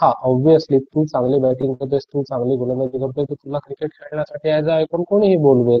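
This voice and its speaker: A somewhat breathy male voice, fairly high for a man, with fairly even intonation. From Alibag, Maharashtra. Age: young. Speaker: cricket commentator. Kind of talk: interview answer.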